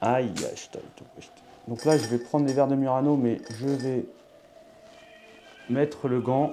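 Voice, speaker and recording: A man with a southern French accent speaks at a medium pitch and a fairly slow pace, with fairly even intonation, long, frequent pauses and big swings in loudness, while music plays in the background. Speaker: tarot card reader. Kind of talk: astrology tarot reading. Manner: halting, many fillers.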